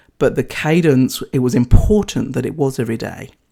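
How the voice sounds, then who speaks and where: This woman has a New Zealand accent and a very deep, low pitch, her tone dark and mellow as she speaks at a fairly quick pace. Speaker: podcast host, leadership coach and former charge nurse. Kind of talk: solo podcast talk.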